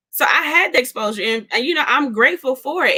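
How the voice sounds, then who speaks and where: With an American accent, a woman speaks at a fairly quick pace in a bright, sharp tone. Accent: Southern US, occasional. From US South. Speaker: co-host. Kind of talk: casual chat.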